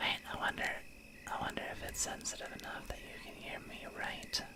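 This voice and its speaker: The voice is whispering at a moderate pace. Noticeable background noise sits behind it. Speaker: vtuber streamer. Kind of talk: ASMR stream, casual talk. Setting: streaming setup with ambient background sound. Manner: whispered, soft.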